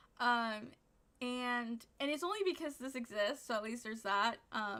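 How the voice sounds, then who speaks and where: A woman's raised, projected voice, high and animated, with a bright, sharp tone and lively intonation. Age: 20s. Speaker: streamer reacting to online drama. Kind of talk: casual commentary.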